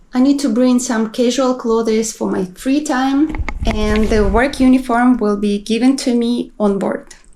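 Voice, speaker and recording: A woman talks at a high pitch and a fairly slow pace, with hardly any pauses. Her intonation is fairly even, and there is noticeable background noise. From Kazakhstan. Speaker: cruise ship crew member vlogger. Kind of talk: vlog narration.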